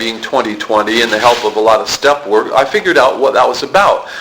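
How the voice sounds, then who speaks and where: Noticeable background noise runs under this recording. A man talks at a fairly quick pace with an American accent. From US South, Palm Beach, Florida. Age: 50s. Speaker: recovery meeting speaker. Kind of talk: testimony. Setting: recovery meeting room. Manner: halting.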